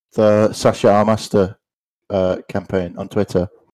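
With a Liverpool accent, a man speaks at a moderate pace in a fairly low voice on a very clean recording with a silent background. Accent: Scouse. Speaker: podcast co-host. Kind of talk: casual chat.

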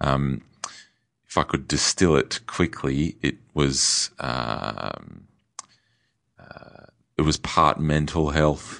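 A man with an Australian accent speaks at a very slow pace with a very deep, low pitch and vocal fry. His intonation is fairly even, with long, frequent pauses and big swings in loudness. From Australia (Perth). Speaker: winemaker. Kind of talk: interview conversation. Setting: studio.

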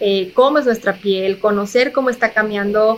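Her pitch sits fairly high. The woman's intonation stays monotone and flat. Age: 30s. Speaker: physician and health communicator. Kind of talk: interview.

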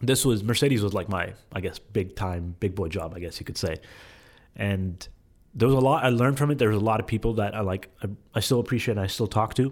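Speaking at a very fast pace, a man with a fairly low pitch is heard in a very clean recording with a silent background. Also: ordinary pitch variation. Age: 20s. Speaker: content creator and social media manager. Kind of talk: casual chat.

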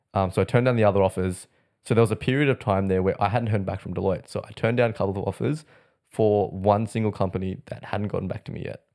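A man with an Australian accent at a very fast pace, fairly low pitch and fairly even intonation, on a very clean recording with a silent background. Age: 20s. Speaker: airline industry worker. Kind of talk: casual chat.

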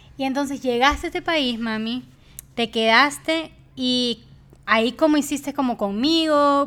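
A woman speaks fairly slowly in a high pitch with ordinary pitch variation. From Ecuador. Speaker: podcast host. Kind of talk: casual chat.

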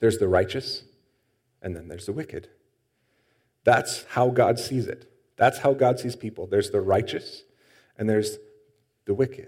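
This man pauses long and often, and his voice is somewhat breathy. He speaks at a medium pitch with ordinary pitch variation. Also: moderate pace, big swings in loudness. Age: 30s. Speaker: pastor. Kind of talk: sermon.

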